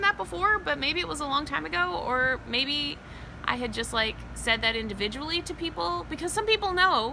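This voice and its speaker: A woman's high voice with very wide pitch swings, over noticeable background noise. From US South, New Orleans. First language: Spanish. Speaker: weight loss vlogger. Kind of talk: casual vlog update. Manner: chatty, filler-heavy.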